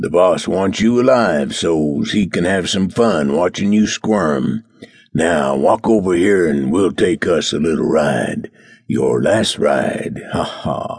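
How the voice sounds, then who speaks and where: A man uses a put-on, gruff character voice with a very deep, low pitch. He speaks at a fairly slow pace with lively intonation. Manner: gloating.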